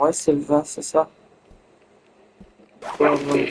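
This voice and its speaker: The man's voice sits fairly high and sounds monotone, with flat intonation. Background noise is noticeable. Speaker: gaming youtuber. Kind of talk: let's play commentary.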